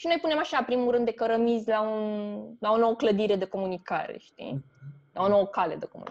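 A woman speaks in a normal speaking voice at a fairly high pitch. Her intonation is lively and her pace fairly quick. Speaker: theatre critic. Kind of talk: casual chat.

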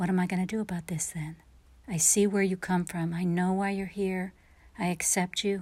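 On a very clean recording with a silent background, a woman speaks at a medium pitch in a calm, soothing tone. Her voice is somewhat breathy, and her intonation is monotone and flat. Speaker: meditation guide. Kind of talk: guided meditation. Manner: slow, calm, soothing; gentle, soft-spoken, with long pauses.

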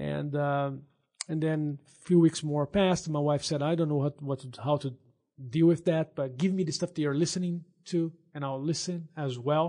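A man with a Brazilian accent, a fairly high pitch, a dark, mellow tone, fairly even intonation and a moderate pace. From Brazil, São Paulo state. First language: Portuguese. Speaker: veterinarian. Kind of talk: testimony.

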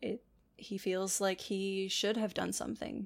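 A woman's plain, everyday voice, medium in pitch and fairly slow, on a very clean recording with a silent background. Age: 20s. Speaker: podcast co-host. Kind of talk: casual chat.

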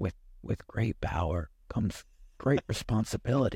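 In a put-on character voice, a man talks at a fairly slow pace with a medium pitch. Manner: wise, solemn.

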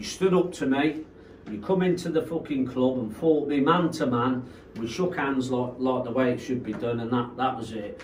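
With audible room echo and noticeable background noise around it, the talking keeps a moderate pace and ordinary pitch variation. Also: man. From Coventry, England. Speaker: rave promoter. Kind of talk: casual chat.

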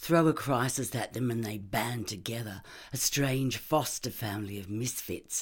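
The voice reads aloud plainly. Its pitch moves in an ordinary way.

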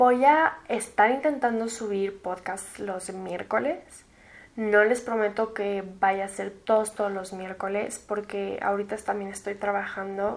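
At a fairly slow pace, a woman with a Mexican accent speaks with ordinary pitch variation. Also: medium pitch for a woman. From Mexico City. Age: 20s. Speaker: podcast host. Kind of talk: casual monologue.

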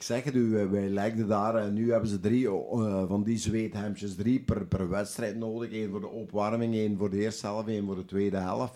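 With a dark, mellow tone and fairly low pitch, a man talks at a moderate pace with hardly any pauses. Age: 60s. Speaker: football club kit manager and goalkeeper coach. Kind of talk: casual chat with anecdotes. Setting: studio.

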